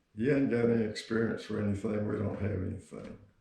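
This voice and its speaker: A man with a Texan accent speaks at a fairly low pitch in a dark, mellow, somewhat breathy tone. His intonation is monotone and flat, with audible room echo. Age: 70s. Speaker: grandfather, Vietnam veteran. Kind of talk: interview.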